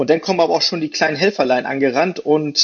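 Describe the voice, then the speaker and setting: Very fast talking from a man, with noticeable background noise behind him. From Hamburg, northern Germany. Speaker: rescue helicopter pilot. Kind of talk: casual interview. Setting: video call.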